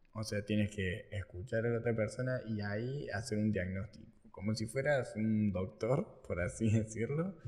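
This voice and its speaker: This man's medium-pitched voice is somewhat breathy, moving at a moderate pace with hardly any pauses and ordinary pitch variation. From Argentina, Córdoba. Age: 20s. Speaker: marketing entrepreneur. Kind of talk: casual interview.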